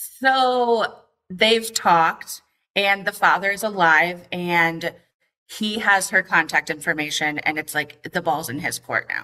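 A woman at a medium pitch speaks fairly slowly, her tone bright and sharp with ordinary pitch variation. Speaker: caller. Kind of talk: casual chat.

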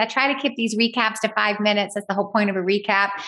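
Over noticeable background noise, a woman with an American accent speaks very fast in a fairly high pitch, her tone animated. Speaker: podcast host. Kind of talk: casual recap monologue.

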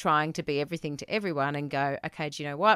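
A woman with an Australian accent speaks at a very deep, low pitch with ordinary pitch variation, the sound dry and close with no echo on a very clean recording with a silent background. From New South Wales mid-north coast, Australia. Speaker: marketing business owner.

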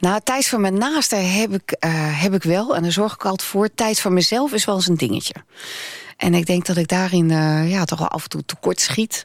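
Using a plain, everyday voice, a woman talks at a medium pitch and moderate pace with ordinary pitch variation. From Netherlands. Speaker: radio presenter. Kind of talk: interview.

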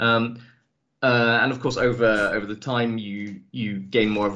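The voice belongs to a man with an English accent. His pitch is fairly low and his intonation fairly even. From England. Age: 30s. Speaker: tabletop RPG writer. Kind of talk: casual podcast interview.

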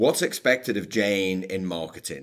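A man with a Scouse accent talks at a moderate pace, fairly low in pitch. The recording is very clean, with a silent background. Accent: Scouse (Liverpool) English. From Liverpool, England. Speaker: author and speaker on workplace culture. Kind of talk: interview.

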